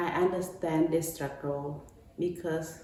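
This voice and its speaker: In a Cambodian accent, a woman talks with a very deep, low pitch and fairly even intonation, amid audible room echo and noticeable background noise. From Cambodia, Battambang. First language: Khmer. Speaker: domestic violence advocate. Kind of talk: prepared remarks.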